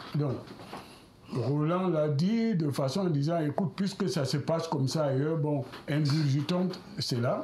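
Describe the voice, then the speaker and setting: Speech comes at a fairly slow pace with long, frequent pauses, very even loudness and ordinary pitch variation, over noticeable background noise. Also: man, fairly high pitch for a man. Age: 70s. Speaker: politician. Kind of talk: televised political debate. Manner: hesitant, with fillers.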